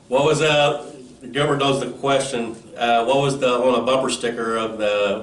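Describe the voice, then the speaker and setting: Noticeable background noise and audible room echo fill the recording. A man speaks at a moderate pace with fairly even intonation. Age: 50s. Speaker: podcast host, carp angler. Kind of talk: podcast interview.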